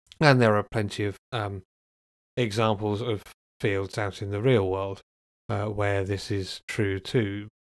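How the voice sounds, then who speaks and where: A man with a British accent speaks fairly slowly at a fairly low pitch, in a monotone, flat way with long, frequent pauses, in a very clean recording with a silent background and a dry, close sound with no echo. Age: 40s. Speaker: podcast host, software engineer. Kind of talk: solo podcast monologue. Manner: hesitant, many fillers.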